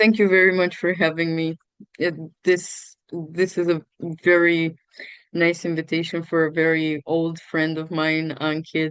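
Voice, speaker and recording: Speech unfolds at a fairly slow pace. Its intonation stays monotone and flat. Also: woman, fairly low pitch for a woman. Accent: Romanian. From Romania, Tulcea. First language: Romanian. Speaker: student and NGO founder. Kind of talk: interview.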